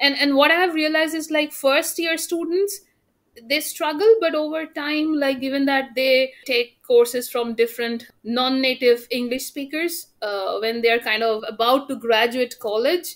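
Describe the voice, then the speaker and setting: Her pitch is high for a woman, with ordinary variation. She speaks at a fairly slow pace. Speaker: university teacher. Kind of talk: casual chat.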